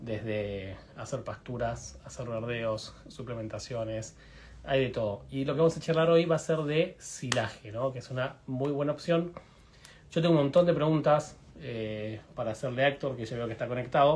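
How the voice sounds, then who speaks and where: Big swings in loudness mark this man's speech, which has ordinary pitch variation. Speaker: veterinarian hosting livestream. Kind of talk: live stream interview. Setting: video livestream. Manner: fast.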